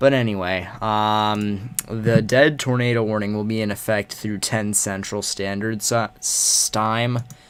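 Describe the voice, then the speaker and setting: Quiet and very slow, a man talks in a fairly low voice. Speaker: livestreamer covering severe weather. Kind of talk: casual livestream commentary. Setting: livestream with webcam. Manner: quiet, holding back volume.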